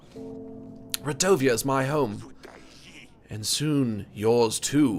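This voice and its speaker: Clear music plays in the background while a man uses a raspy, gruff, put-on character voice at a medium pitch. He speaks at a very slow pace with very wide pitch swings. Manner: menacing.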